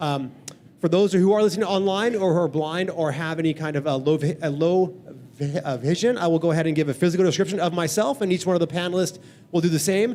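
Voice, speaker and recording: A dark, mellow tone comes through at a very fast pace. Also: man, high pitch for a man, ordinary pitch variation. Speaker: running organization director and panel moderator. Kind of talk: live panel moderation. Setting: event venue with live audience, live streamed. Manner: casual, upbeat.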